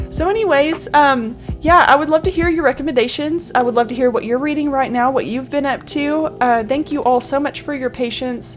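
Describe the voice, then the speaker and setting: Music plays in the background as a woman with a high pitch talks at a fairly quick pace, with hardly any pauses and ordinary pitch variation. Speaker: book video creator. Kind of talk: casual vlog chat. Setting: home recording alone. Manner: loud; animated.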